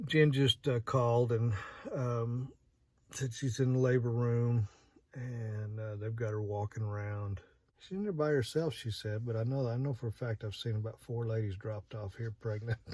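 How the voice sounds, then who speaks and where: In an American accent, a man talks at a moderate pace, somewhat breathy, with fairly even intonation. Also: medium pitch for a man. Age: 50s. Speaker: vlogger. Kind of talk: casual vlog monologue. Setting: in a parked truck at night. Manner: halting, many fillers.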